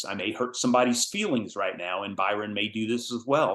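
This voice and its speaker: A man with a normal speaking voice at medium pitch, talking at a moderate pace over a quiet background. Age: 60s. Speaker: course instructor. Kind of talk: lecture.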